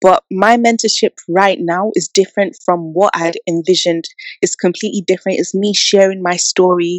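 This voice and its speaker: Speaking at a fairly quick pace, a woman with a London accent keeps a medium pitch and fairly even intonation. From England. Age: 20s. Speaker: young entrepreneur and mentor. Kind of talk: interview.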